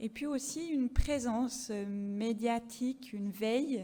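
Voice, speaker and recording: Somewhat breathy and dark, mellow in tone, a woman speaks at a fairly high pitch with ordinary pitch variation and a slight Swiss French accent. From French-speaking Switzerland. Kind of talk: conference presentation. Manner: hesitant, many fillers.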